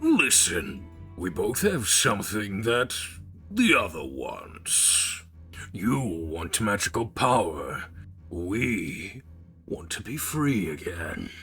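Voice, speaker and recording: A man's put-on character voice, fairly low in pitch and very slow, over clear background noise. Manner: bargaining.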